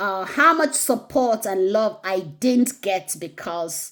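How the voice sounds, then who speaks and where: A woman speaks at a very slow pace with a medium pitch. The recording is very clean, with a silent background. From Nigeria. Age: 40s. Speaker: nurse and personal vlogger. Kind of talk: personal reflection monologue.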